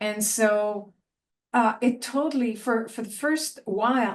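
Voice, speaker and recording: A woman's fairly high voice with a Quebec accent, fairly slow delivery and ordinary pitch movement. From Quebec, south of Montreal. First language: French. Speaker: university lecturer. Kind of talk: panel discussion.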